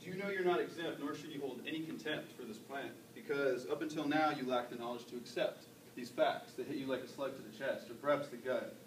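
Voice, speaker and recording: Over noticeable background noise, a man talks at a very fast pace in a fairly high pitch, with ordinary pitch variation and big swings in loudness. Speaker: slam poet. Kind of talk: slam poetry performance. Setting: live open mic on a campus.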